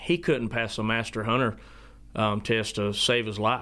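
This man has a Southern US accent and medium pitch. He keeps a moderate pace with a bright, sharp tone. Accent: Southern US (Georgia). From US South, South Georgia. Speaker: dog trainer and kennel owner. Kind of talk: interview.

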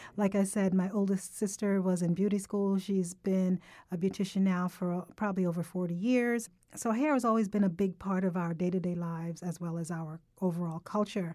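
On a very clean recording with a silent background, a woman of medium pitch talks at a fairly quick pace in a dark, mellow tone with fairly even intonation. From Jamaica. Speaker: podcast host. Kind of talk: casual chat. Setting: studio.

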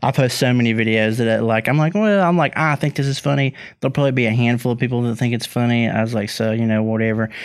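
With an Appalachian accent, a man speaks at a very fast pace with hardly any pauses, his medium pitch showing ordinary variation and his loudness very even, in a very clean recording with a silent background. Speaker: comedian and online video creator. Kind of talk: casual chat.

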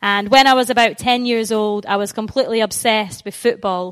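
A woman's fairly high voice with a Scottish accent and a warm, enthusiastic tone, on a very clean recording with a silent background. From Scotland, Stirling. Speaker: Bible school outreach coordinator, evangelist. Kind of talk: church talk on evangelism. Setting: church, speaking to a live audience. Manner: warm, enthusiastic, conversational.

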